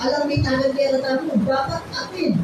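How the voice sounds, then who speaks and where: Against noticeable background noise and audible room echo, a woman speaks at a high pitch. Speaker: pastor. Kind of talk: sermon. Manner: loud.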